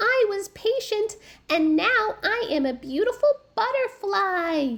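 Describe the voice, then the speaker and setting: A woman's squeaky, put-on character voice, extremely high-pitched, at a fairly slow pace. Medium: read story. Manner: slow and steady.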